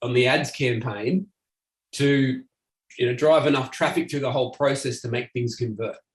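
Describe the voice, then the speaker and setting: The voice is somewhat breathy. It has an Australian accent. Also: man. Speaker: marketing agency owner. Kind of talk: presentation. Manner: fast.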